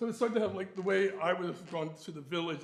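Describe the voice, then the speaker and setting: A man talks at a very fast pace in a high pitch, with ordinary pitch variation. Audible room echo and noticeable background noise surround his voice. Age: 70s. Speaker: symposium speaker on Harlem venues. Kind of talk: conference talk with slides. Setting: university symposium. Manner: hesitant, many fillers.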